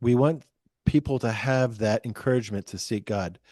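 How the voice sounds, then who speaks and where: Heard in a quiet background with a dry, close sound and no echo, a man talks at a moderate pace in a medium pitch, his tone dark and mellow, with ordinary pitch variation. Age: 60s. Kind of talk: podcast interview.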